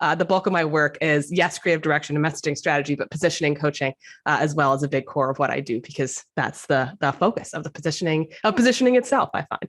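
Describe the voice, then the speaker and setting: Very fast delivery with hardly any pauses, over a quiet background. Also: woman, very deep, low pitch for a woman, ordinary pitch variation. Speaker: brand strategist. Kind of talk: interview. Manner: animated.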